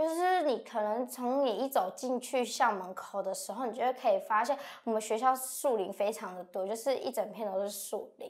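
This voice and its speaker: A woman speaks at a moderate pace with hardly any pauses. Her pitch is high, with ordinary variation. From Miaoli, Taiwan. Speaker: university student. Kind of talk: lecture.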